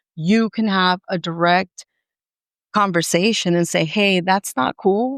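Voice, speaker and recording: A woman at medium pitch in a dry, close sound with no echo, on a very clean recording with a silent background. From San Diego, California. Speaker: artist. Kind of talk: podcast interview. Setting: live recording at an art center. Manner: animated.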